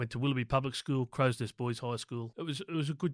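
Very clean and silent in the background, the recording has a dry, close sound with no echo. A man with an Australian accent talks at a very fast pace and fairly high pitch with ordinary pitch variation. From Sydney, Australia (North Shore). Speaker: small business owner. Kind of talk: interview.

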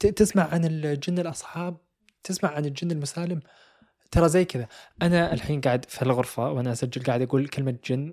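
A man speaks at a fairly quick pace in a dark, mellow tone with ordinary pitch variation. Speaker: podcast host. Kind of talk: storytelling. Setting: home recording room.

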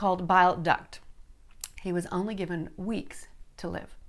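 A woman with an American accent talks at a moderate pace in a medium pitch, an unremarkable speaking voice. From South Dakota, US Midwest. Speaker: online Bible study host. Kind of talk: personal testimony.

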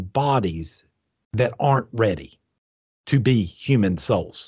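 Somewhat breathy, a man speaks at a very slow pace with very wide pitch swings. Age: 50s. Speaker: podcast co-host discussing spirituality. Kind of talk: casual chat.

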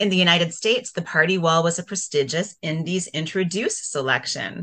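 A woman speaks at a moderate pace and medium pitch, with a bright, sharp tone. The background is quiet. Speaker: podcast co-host, author and local historian. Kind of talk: interview.

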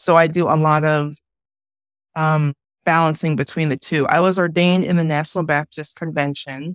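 In an American accent, a woman speaks at a very deep, low pitch with monotone, flat intonation, in a dry, close sound with no echo. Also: moderate pace. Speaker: pastor. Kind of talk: group conversation. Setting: video call.

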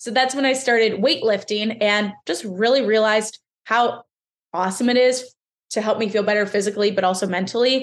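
A woman speaks fairly quickly in a normal speaking voice with an American accent. Her pitch is fairly high and her intonation fairly even. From central Pennsylvania. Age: 20s. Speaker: fitness coach. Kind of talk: interview.

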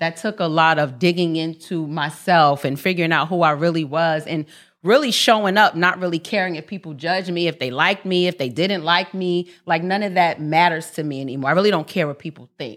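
Fairly low-pitched for a woman, she has an ordinary speaking voice with ordinary pitch variation, talking at a fairly quick pace with hardly any pauses. The recording is very clean, with a silent background. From Harlem, New York. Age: 40s. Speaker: podcast host. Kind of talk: casual chat.

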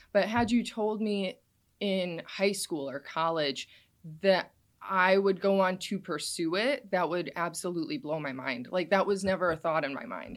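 An unremarkable speaking voice from a woman with an American accent, medium in pitch with lively intonation, at a moderate pace on a very clean recording with a silent background. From Wisconsin, US Midwest. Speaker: social media creator on local paranormal history. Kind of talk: casual interview. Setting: studio.

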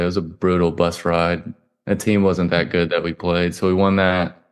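A man with a Southern US accent, a very deep, low pitch, a fairly quick pace and flat, monotone intonation, over a quiet background. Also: very even loudness. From coastal South Carolina. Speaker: college football quarterback. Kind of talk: casual interview.

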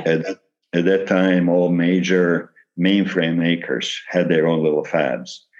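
In a very deep, low pitch, a man speaks at a fairly slow pace with monotone, flat intonation. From Yugoslavia. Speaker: retired engineer and novelist. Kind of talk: interview. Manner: halting with fillers.

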